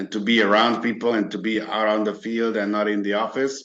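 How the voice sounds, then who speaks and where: A very fast, flat, monotone male voice, fairly low in pitch, with a Hungarian accent. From Hungary. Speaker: merchant services broker. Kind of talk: interview. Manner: halting, many fillers.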